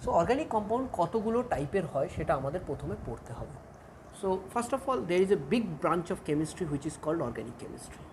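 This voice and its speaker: A woman speaks with a fairly low pitch and very wide pitch swings. There is audible room echo. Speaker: chemistry teacher. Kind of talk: lecture.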